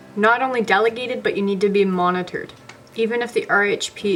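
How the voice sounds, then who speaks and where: A woman of medium pitch talks at a moderate pace with fairly even intonation against noticeable background noise. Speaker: personal support worker educator. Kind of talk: tutorial.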